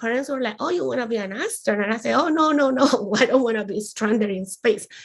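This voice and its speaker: A woman with a Spanish accent talks at a fairly quick pace. Her pitch is fairly high. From Colombia, rural. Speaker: aerospace engineer. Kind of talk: panel discussion. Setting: live stream.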